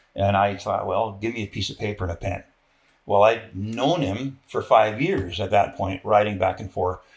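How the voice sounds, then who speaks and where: Somewhat breathy and fairly low in pitch, a man speaks at a fairly quick pace in a very clean recording with a silent background. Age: 60s. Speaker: military veteran. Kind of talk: interview conversation. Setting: sit-down interview.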